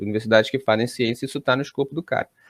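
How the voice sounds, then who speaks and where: The sound is dry and close with no echo as the man talks. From Brazil. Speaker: college professor. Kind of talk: interview. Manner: hesitant, many fillers.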